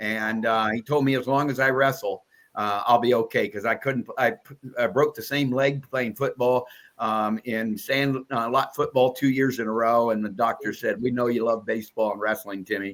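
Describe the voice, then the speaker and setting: A man in a Midwestern US accent, medium-pitched, at a moderate pace with fairly even intonation. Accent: US Midwest. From Iowa. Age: 70s. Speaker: wrestling broadcaster. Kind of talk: podcast interview. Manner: halting with many fillers.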